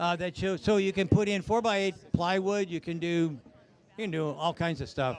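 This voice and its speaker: A loud, high male voice at a moderate pace, with ordinary pitch variation. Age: 70s. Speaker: automotive reviewer at a live event. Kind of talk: live event walkaround. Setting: outdoor event with crowd and PA speakers. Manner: casual.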